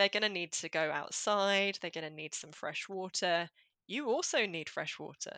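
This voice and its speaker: A woman with an English accent and medium pitch is recorded in a dry, close sound with no echo against a quiet background. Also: ordinary pitch variation, moderate pace. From rural England. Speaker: clinical psychologist. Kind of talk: interview.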